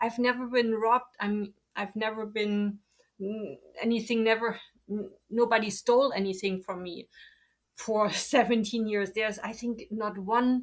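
A woman with a German accent, fairly high pitch, monotone, flat intonation, a fairly slow pace, and long, frequent pauses. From East Germany (Leipzig). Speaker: German teacher. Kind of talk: interview.

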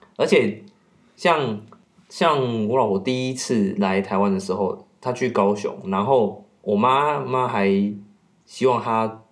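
A man speaks at medium pitch with ordinary pitch variation. His pace is very slow. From Taiwan, Kaohsiung. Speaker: podcast guest. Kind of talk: casual chat.

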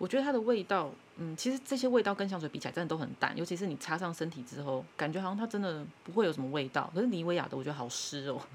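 Very fast delivery with very wide pitch swings. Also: woman, fairly low pitch for a woman. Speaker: podcast co-host. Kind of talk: casual chat.

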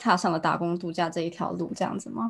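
Woman with a fairly low pitch and vocal fry. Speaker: podcast host. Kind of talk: casual interview. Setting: Tokyo.

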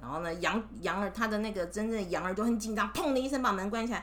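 A woman speaks in a raised, projected voice with an animated tone. There is noticeable background noise and audible room echo. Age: 30s. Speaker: mother reading stories with her child. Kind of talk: storytelling to a child.

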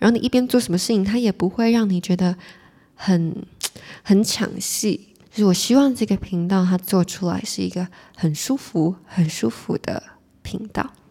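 Her voice sits at medium pitch with ordinary pitch variation and a moderate pace. The woman's tone is calm, relaxed, dark, mellow, and somewhat breathy. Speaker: podcast host. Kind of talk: solo casual chat, reading listener messages. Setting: solo recording at the mic.

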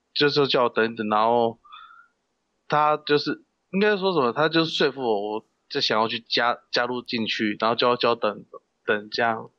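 At a moderate pace with long, frequent pauses, a man talks in a medium pitch with ordinary pitch variation and a bright, sharp tone, the sound dry and close with no echo. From Taiwan, Kaohsiung. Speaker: professional wrestler. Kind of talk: interview. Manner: halting; shy.

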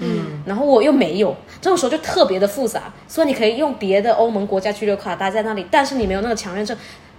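Over noticeable background noise, a woman with a fairly high pitch talks at a very fast pace with hardly any pauses and lively intonation. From Fujian, China. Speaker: PhD student studying abroad. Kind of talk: casual chat.

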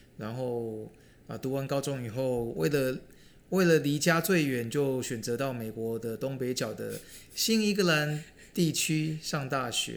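A man with an ordinary speaking voice, medium in pitch, with lively intonation and a fairly slow pace. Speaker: podcast co-host, retired finance worker. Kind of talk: casual chat.

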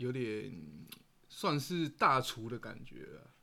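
A man's medium-pitched voice has a bright, sharp tone and ordinary pitch variation. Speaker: podcast co-host. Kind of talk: casual chat while eating.

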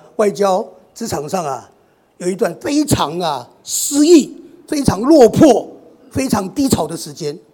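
A man speaks very slowly in a high voice, his pitch swinging very widely. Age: 60s. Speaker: retired diplomat. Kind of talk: sermon.

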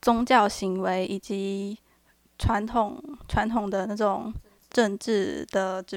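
A woman's normal speaking voice, fairly high in pitch, with fairly even intonation. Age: 20s. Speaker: student podcast co-host. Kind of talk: reading prepared notes.

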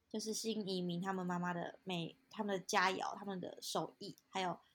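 At a moderate pace, a woman with a medium pitch talks in a monotone, flat intonation. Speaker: podcast co-host. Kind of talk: casual chat.

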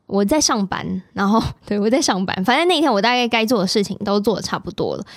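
On a very clean recording with a silent background, a woman talks fairly quickly at a medium pitch in an unremarkable speaking voice with ordinary pitch variation. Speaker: podcast host. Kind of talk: casual chat.

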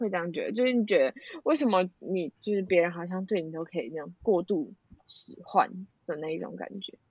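A woman with lively intonation, dry and close with no echo. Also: medium pitch for a woman. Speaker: friend of host. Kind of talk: casual chat. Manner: loud.

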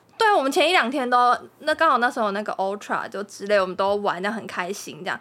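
A woman talks at a very fast pace with lively intonation. Her pitch sits fairly high. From Taiwan, Kaohsiung. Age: 20s. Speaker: host's partner. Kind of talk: casual chat.

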